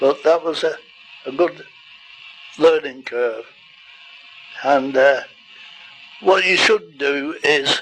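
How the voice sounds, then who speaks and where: Over noticeable background noise, a man with a fairly high voice talks very slowly, using ordinary pitch variation and leaving long, frequent pauses. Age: 80s+. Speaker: goldfish breeder. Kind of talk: informal talk to camera.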